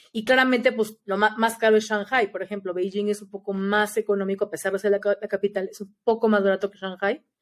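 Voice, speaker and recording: A woman with a Mexican accent, medium pitch, monotone flat intonation, a very fast pace and hardly any pauses. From Mexico. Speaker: former exchange student. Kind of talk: casual chat.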